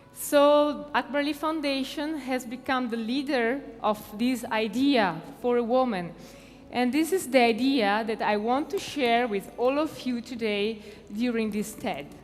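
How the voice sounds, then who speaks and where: A high-pitched female voice in an Italian accent, fairly slow, with ordinary pitch variation, audible room echo and noticeable background noise. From Italy. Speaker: foundation president. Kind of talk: conference talk. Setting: stage with audience. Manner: halting.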